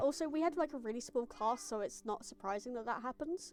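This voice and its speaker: A woman speaks at a high pitch with lively intonation. Music plays in the background. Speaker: gaming streamer. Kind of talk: casual live-stream chat. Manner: sometimes muffled.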